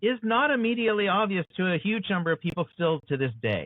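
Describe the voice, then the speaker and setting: A man speaks at a fairly quick pace with an American accent. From USA. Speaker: author and show host. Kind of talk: interview conversation.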